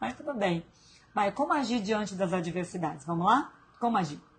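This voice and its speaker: Her pitch centered in the middle range, a woman lets it swing very widely. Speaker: live stream host, self-development coach. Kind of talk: live stream talk. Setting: hospital room.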